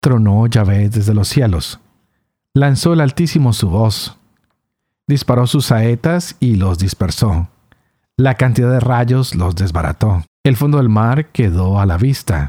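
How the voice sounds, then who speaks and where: A man's medium-pitched voice, dark and mellow, with lively intonation, very even loudness, a fairly slow pace, and a dry, close sound with no echo. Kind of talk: scripture reading aloud; reflection and commentary.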